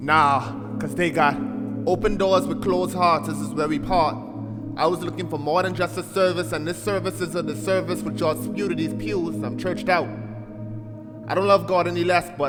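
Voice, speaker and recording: Music in the background behind a man's moderately paced speech. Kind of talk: spoken word poetry performance.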